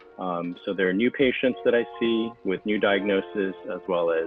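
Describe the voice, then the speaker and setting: Music plays in the background as a man speaks. He has a General American accent and a moderate pace. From US East Coast. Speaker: oncologist and hematologist. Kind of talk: interview answer. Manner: hesitant, many fillers.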